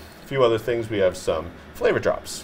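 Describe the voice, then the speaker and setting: A man with a Massachusetts accent over light background noise. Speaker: chef; chef host. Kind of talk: cooking tutorial. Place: studio. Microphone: lapel.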